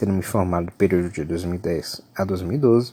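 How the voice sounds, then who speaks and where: The man's voice is dark and mellow, sitting very deep and low in pitch. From Brazil, Salvador (Bahia). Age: 30s. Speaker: university lecturer. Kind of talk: lecture.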